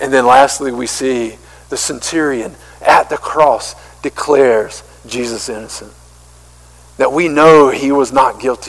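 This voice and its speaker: A man with a Southern US accent talks at a fairly slow pace in a medium pitch, with fairly even intonation, long, frequent pauses and noticeable background noise. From US South, small-town South Carolina. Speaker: pastor. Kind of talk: sermon. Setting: church.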